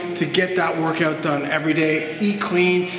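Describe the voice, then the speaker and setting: A man talks at a high pitch, with noticeable background noise and audible room echo. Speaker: fitness trainer. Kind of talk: workout intro talk to camera.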